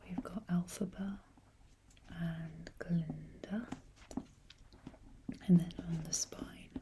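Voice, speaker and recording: Very slow and soft-spoken, a woman talks in a fairly low, dark, mellow, calm tone that is somewhat breathy and flat in intonation. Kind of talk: ASMR book collection talk, soft-spoken. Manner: soft-spoken, calm, slow.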